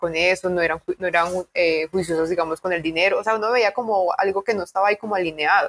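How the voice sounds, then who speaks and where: Fairly quick and at a medium pitch, a woman talks in a plain, everyday voice, recorded dry and close with no echo. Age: 30s. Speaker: podcast co-host. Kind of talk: casual chat.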